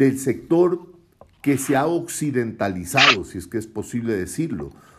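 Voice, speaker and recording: Using vocal fry, a man speaks with very wide pitch swings. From Ecuador, Guayaquil (coast). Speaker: author. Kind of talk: casual chat.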